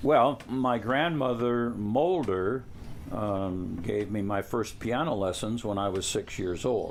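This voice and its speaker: In a Midwestern American accent, a man talks at a fairly slow pace and a fairly low pitch, with ordinary pitch variation. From US Midwest, Toledo, Ohio. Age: 70s. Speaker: family elder interviewed about family history. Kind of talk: oral history interview. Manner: halting, with many fillers.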